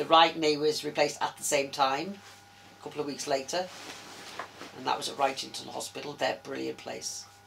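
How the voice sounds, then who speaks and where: A woman's very deep, low voice at a fairly quick pace, with fairly even intonation and noticeable background noise. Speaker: interviewee living with arthritis. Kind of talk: interview. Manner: fast.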